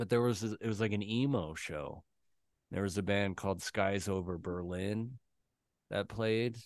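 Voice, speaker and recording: A man talks in a plain, everyday voice, fairly low in pitch with ordinary pitch variation. The background is quiet. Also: moderate pace. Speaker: podcast co-host. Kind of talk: casual chat.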